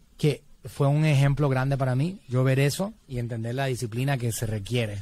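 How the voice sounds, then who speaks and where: A man's somewhat breathy voice comes through in a dry sound with no echo. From Puerto Rico, San Juan. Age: 40s. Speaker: digital marketing entrepreneur; podcast guest. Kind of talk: interview conversation. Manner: halting, many fillers. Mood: earnest, reflective about late father. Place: studio. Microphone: studio mic.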